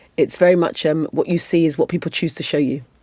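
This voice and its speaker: A woman's very deep, low pitch and dark, mellow tone at a moderate pace, on a very clean recording with a silent background. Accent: British. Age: 50s. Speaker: former Olympic athlete and advocate. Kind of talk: podcast interview.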